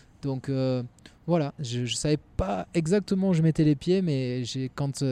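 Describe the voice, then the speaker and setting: At a very slow pace, the voice shows ordinary pitch variation in a dry, close sound with no echo. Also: man. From southwest France, Landes (Mont-de-Marsan). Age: 30s. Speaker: former pro footballer, sports business manager. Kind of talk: casual interview. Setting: at a sports field. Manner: hesitant, repeats words.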